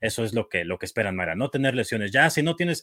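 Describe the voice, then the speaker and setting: Talking at a very fast pace, a man with a bright, sharp tone sweeps through very wide pitch swings in a dry, close recording with no echo. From Mexico, Michoacán. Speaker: play-by-play football announcer. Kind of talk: casual sports talk show.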